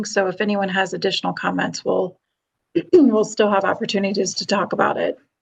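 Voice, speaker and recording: Using a put-on character voice, a woman speaks fairly quickly at a medium pitch with a raspy sound. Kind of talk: formal, meeting.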